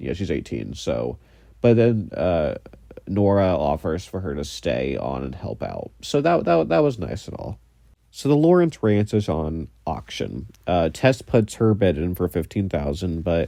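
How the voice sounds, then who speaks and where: A man speaks at a moderate pace in a very deep, low voice with vocal fry and a dark, mellow tone. His pitch swings very widely against a quiet background. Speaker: podcast host. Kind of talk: casual podcast review talk. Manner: rambling, casual.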